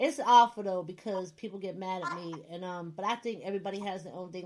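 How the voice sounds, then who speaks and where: In an American accent, someone speaks fairly quickly. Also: woman. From US Northeast. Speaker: radio host. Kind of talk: casual chat. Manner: animated.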